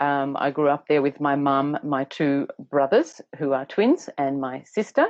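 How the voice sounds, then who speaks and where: A woman with a very deep, low pitch talks fairly slowly and keeps a fairly even intonation. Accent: Australian. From Australia, Tasmania northwest coast. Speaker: educator and teacher trainer. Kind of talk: interview. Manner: hesitant, many fillers.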